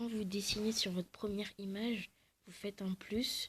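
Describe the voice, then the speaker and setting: The woman sounds somewhat breathy, her medium pitch held in a fairly even intonation. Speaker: video creator. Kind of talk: tutorial. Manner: soft-spoken; halting.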